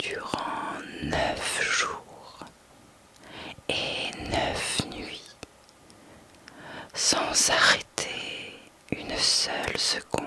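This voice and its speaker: The speaker whispers in a soothing tone at a very slow pace, with long, frequent pauses. Noticeable background noise is present. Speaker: sophrologist and ASMR whisper reader. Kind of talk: whispered reading of a mythology text, sleep and relaxation story. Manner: whispered, slow, soothing.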